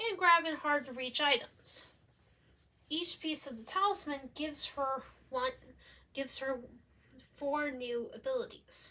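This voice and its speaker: Raising and projecting her high voice, a woman speaks at a fairly slow pace with a bright, sharp tone, lively intonation and long, frequent pauses. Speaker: student presenting a game concept. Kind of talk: presentation.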